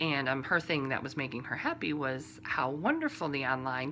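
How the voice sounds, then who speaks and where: This woman talks in a Midwestern accent. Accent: Midwestern drawl. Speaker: knitting podcaster. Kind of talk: casual podcast monologue. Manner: conversational with many fillers.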